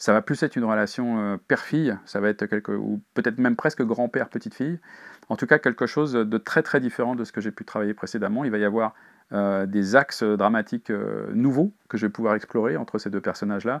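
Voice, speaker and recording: A man talks at a medium pitch with ordinary pitch variation. The background is quiet. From Paris region, France; France. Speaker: crime novelist. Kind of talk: interview. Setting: bookshop signing. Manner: halting, frequent fillers. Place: shop.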